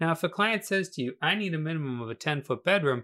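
A man with an American accent talks very fast in a fairly high pitch with ordinary pitch variation, on a very clean recording with a silent background. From Massachusetts. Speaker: podcast host, real estate coach. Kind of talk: solo educational podcast monologue.

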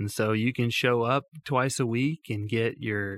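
The sound is dry and close with no echo as a man talks at a medium pitch with ordinary pitch variation. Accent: Alabama. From US South (Tuscaloosa, Alabama). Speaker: mission organization president. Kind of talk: interview conversation. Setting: studio.

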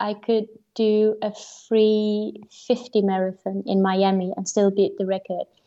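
The intonation is monotone and flat, with a dark, mellow tone. The pace is fairly slow. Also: woman. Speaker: marathon runner. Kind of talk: interview.

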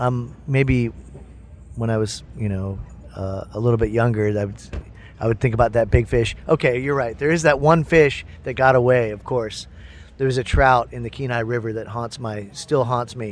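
Speaking at a moderate pace, a man with an American accent uses a medium pitch and fairly even intonation. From upstate New York and Ohio. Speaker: musician. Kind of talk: backstage interview. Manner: halting.

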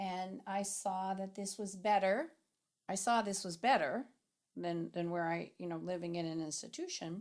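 On a very clean recording with a silent background, a woman with an ordinary speaking voice talks at a moderate pace and medium pitch, with ordinary pitch variation. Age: 60s. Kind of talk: interview.

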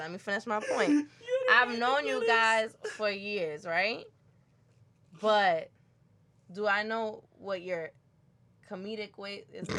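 A woman with a Brooklyn accent and a fairly high pitch talks at a fairly slow pace, with long, frequent pauses, big swings in loudness and ordinary pitch variation. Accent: New York, Brooklyn. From Brooklyn, New York. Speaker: podcast co-host. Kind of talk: casual chat. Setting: studio. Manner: animated.

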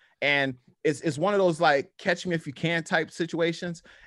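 A man talks at a moderate pace in a normal speaking voice with a fairly high pitch. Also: quiet background. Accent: American. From US South, New Orleans. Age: 40s. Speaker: powerlifter and apparel brand owner. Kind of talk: casual chat.

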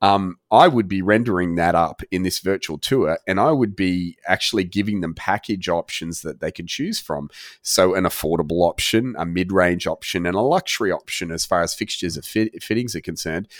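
In an Australian accent, a man with a very deep, low voice speaks fairly quickly with ordinary pitch variation, on a very clean recording with a silent background and a dry, close sound with no echo. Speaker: virtual tour and rendering business owner, former builder. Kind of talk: interview.

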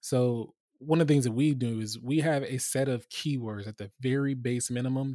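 Recorded very cleanly against a silent background, a man talks at a moderate pace in a dark, mellow tone, the sound dry and close with no echo. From US West Coast, Los Angeles. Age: 30s. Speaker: information security executive. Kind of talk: interview.

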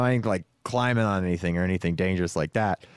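A man talks fairly quickly in a normal speaking voice with lively intonation. The sound is dry and close, with no echo. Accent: American. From California, Stockton. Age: 30s. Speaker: podcast host and musician. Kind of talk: casual chat.

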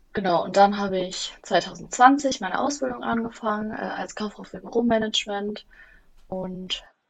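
At a moderate pace, a woman with a medium pitch speaks in a somewhat breathy voice with ordinary pitch variation. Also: long, frequent pauses, big swings in loudness. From Germany, Bielefeld. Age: 20s. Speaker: office management apprentice. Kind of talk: interview.

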